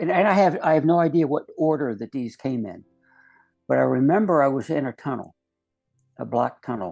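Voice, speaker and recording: Against music in the background, a man with a fairly high pitch and lively intonation speaks with long, frequent pauses. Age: 70s. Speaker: near-death experiencer, retired investigator and educator. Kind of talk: testimony. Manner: halting, many fillers.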